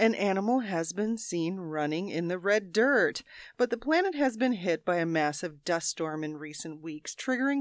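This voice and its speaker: Over a very clean recording with a silent background, a woman speaks in a normal speaking voice at a moderate pace and medium pitch, with lively intonation and hardly any pauses. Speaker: quiz show panelist. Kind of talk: casual comedic banter. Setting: studio.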